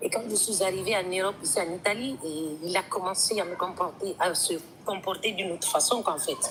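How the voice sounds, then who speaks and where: A woman speaks at a fairly quick pace with a medium pitch and ordinary pitch variation. There is noticeable background noise. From Guinea. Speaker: woman telling her story. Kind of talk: testimony. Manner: hesitant, many fillers.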